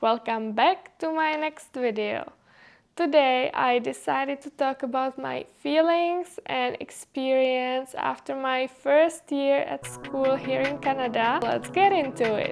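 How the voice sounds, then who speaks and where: In a very clean recording with a silent background, a woman with a high pitch speaks at a very slow pace, showing ordinary pitch variation. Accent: Czech. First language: Czech. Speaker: vlogger, international student. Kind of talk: casual vlog talk to camera. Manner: casual, with filler words.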